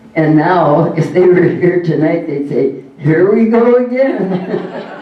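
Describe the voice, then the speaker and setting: A man talks at a very slow pace. Background noise is noticeable, and the room echo is audible. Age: 90s. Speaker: lifetime achievement award recipient, bowler. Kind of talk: acceptance speech.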